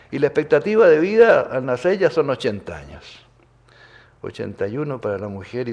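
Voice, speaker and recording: Speaking at a fairly quick pace, a man with a medium pitch and vocal fry makes very wide pitch swings and big swings in loudness. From Chile. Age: 80s+. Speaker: physician and nutrition expert. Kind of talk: keynote lecture.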